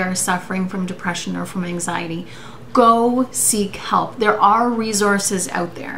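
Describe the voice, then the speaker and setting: A woman speaks at a moderate pace with ordinary pitch variation. Light background noise can be heard. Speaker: vlogger. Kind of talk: casual vlog chat. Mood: serious, earnest, personal. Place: home room. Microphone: webcam.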